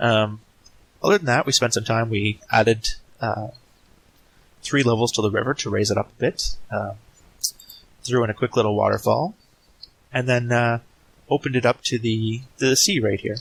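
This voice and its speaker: At a moderate pace and in a relaxed tone, a man with a medium-pitched voice speaks with long, frequent pauses. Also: fairly even intonation, dry, close sound with no echo. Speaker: Minecraft let's play creator. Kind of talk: casual gameplay commentary. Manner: relaxed, hesitant with fillers.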